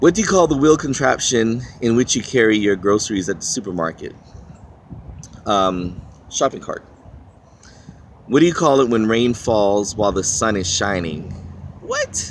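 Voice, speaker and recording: A man with a Washington DC accent at a moderate pace, lively intonation and long, frequent pauses. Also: medium pitch for a man. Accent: Washington DC, East Coast American. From Philippines. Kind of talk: casual talk to camera. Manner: rambling, hesitant.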